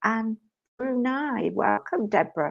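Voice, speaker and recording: Over a quiet background, a woman with a British accent speaks with ordinary pitch variation. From UK. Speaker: spiritual medium and live stream co-host. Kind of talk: live stream chat. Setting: live stream.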